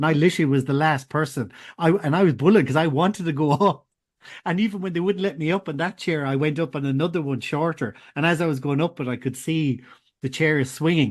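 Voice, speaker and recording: A man with an Irish accent, very fast and fairly high in pitch, ordinary pitch variation, a quiet background behind him. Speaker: podcast host. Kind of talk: casual interview chat. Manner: halting, many false starts.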